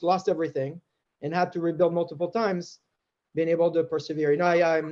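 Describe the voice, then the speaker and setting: Speaking at a fairly quick pace, a man uses a high pitch and a French accent. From France. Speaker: tech executive. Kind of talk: interview.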